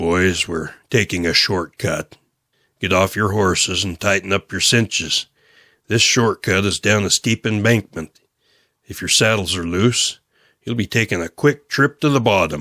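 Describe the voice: A man puts on a gruff character voice with a fairly low pitch. He keeps a moderate pace on a very clean recording with a silent background.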